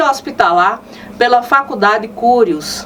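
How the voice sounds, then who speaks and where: Her pitch is high and her intonation lively. The woman speaks at a fairly slow pace against noticeable background noise. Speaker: TV program host. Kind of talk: casual talk to camera.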